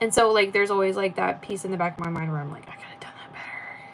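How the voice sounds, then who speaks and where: Speaking very fast with an American accent, a woman keeps a medium pitch and fairly even intonation over noticeable background noise. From United States. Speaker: artist streamer. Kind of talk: casual chat. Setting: live stream. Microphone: echo.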